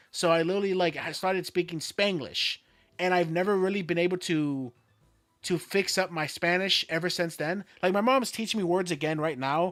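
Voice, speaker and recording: Music plays in the background as a speaker with an American accent talks at a fairly quick pace with ordinary pitch variation. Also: man, high pitch for a man. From Florida, US. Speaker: streamer. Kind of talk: casual chat.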